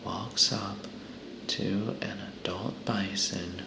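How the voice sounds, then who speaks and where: Someone is whispering at a very slow pace. Noticeable background noise runs underneath. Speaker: ASMR content creator. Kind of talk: reading a humorous animal fact book aloud. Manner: whispered, soft.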